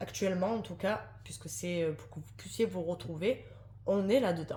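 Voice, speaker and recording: A woman speaks with very wide pitch swings and vocal fry. Her pitch sits fairly low. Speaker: tarot card reader. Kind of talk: tarot reading to camera. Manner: fast; hesitant, many fillers.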